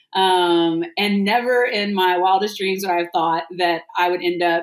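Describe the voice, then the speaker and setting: A woman with an American accent has an ordinary speaking voice, fairly low in pitch, moving at a moderate pace with fairly even intonation. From Texas. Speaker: restaurant founder and nonprofit artist relations leader. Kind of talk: podcast interview. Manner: casual, many filler words.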